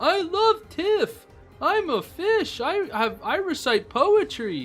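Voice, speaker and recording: Faint background music behind a man in a put-on character voice, extremely high in pitch, at a very slow pace. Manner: silly, dopey.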